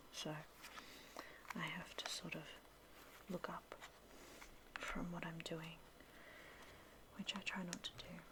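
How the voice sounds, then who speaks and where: A woman whispers at a very slow pace. Her pauses are long and frequent. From Australia. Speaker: ASMR creator. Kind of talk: ASMR soft-spoken video. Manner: soft-spoken.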